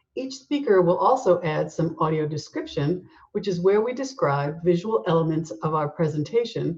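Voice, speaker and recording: Speaking at a moderate pace, a woman's somewhat breathy, fairly low voice moves with lively intonation. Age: 60s. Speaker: nonprofit board president. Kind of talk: formal welcome address.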